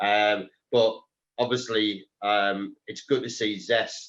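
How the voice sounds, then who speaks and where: Fairly low in pitch, a man speaks with a North East England accent. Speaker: telecoms reseller businessman. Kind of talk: panel discussion. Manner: hesitant, many ums.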